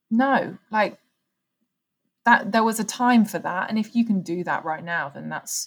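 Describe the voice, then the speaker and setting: Somewhat breathy, a woman with an English accent speaks at a fairly slow pace. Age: 20s. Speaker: podcast host. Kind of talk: casual chat.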